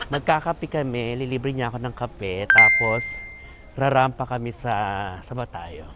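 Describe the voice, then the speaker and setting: Fairly slow pace amid noticeable background noise. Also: man. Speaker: vlogger and comedian. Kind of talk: travel vlog. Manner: animated.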